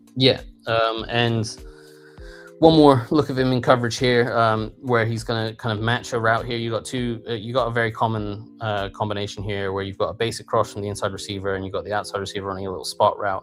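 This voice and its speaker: A man with an English accent, medium pitch, very fast pace and fairly even intonation. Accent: English rural. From rural England. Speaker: football film analyst. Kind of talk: film breakdown tutorial. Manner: hesitant with many fillers.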